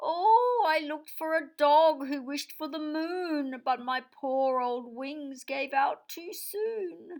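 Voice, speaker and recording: A woman does a put-on character voice, high in pitch. She speaks at a fairly slow pace. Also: hardly any pauses. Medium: read story. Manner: soft, weary.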